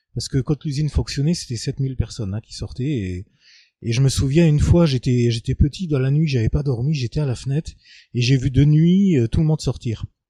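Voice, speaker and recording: Fairly high-pitched for a man, this voice is somewhat breathy with a dark, mellow tone and ordinary pitch variation. He speaks at a fairly quick pace, and the sound is dry and close with no echo. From Lorraine, France (Moselle, Fensch valley). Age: 50s. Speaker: local resident interviewee. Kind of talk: testimony interview. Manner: hesitant, many fillers.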